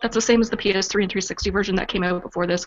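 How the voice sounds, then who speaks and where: A woman talks with a Canadian accent at a medium pitch. Her intonation is monotone and flat. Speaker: podcast co-host.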